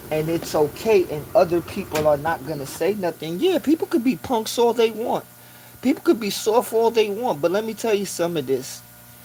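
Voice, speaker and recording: A man talks at a moderate pace in a high voice, his pitch swinging very widely. Noticeable background noise runs behind him. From New York City, South Bronx. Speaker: live streamer. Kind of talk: livestream monologue, storytelling. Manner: casual, conversational.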